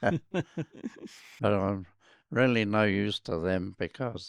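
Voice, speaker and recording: In a New Zealand accent, a man speaks with a very deep, low pitch. The sound is dry and close with no echo against a quiet background. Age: 80s+. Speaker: RAF and test pilot veteran. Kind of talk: interview answer.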